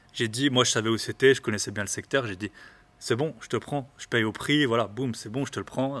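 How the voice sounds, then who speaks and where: A man's medium-pitched voice at a fairly quick pace with fairly even intonation. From eastern France. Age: 30s. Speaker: real estate investor, podcaster. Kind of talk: casual interview. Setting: in person. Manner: halting.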